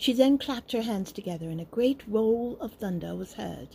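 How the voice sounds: Lively intonation colors what is delivered in a natural reading voice.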